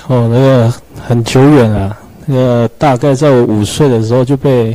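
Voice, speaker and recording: A man's dark, mellow voice moves at a fairly slow pace with fairly even intonation. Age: young. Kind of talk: interview conversation. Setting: radio studio with video stream. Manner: quiet.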